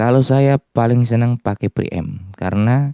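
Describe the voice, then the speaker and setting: Recorded with a dry, close sound and no echo, a man speaks at a fairly slow pace in a medium pitch with a dark, mellow tone. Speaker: music gear reviewer. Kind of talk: tutorial.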